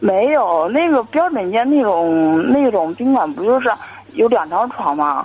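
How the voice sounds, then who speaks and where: Very wide pitch swings mark a woman's fairly slow speech, heard over noticeable background noise. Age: 20s. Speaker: caller, young saleswoman. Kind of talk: call-in advice chat. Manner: hesitant, many fillers.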